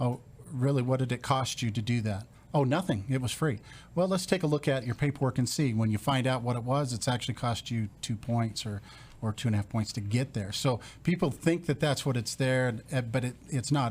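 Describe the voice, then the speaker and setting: A somewhat breathy man of medium pitch talks at a fairly quick pace with ordinary pitch variation, recorded very cleanly against a silent background. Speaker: mortgage lender. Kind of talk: radio interview. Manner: fast.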